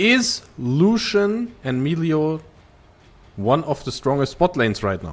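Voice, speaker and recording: A man with a non-native accent talks very slowly in a fairly high voice that makes very wide pitch swings. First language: not English. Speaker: esports play-by-play caster. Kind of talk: live commentary.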